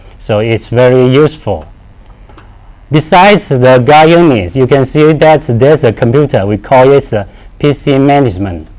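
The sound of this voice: A man at medium pitch, moderate pace, lively intonation and a slightly mellow tone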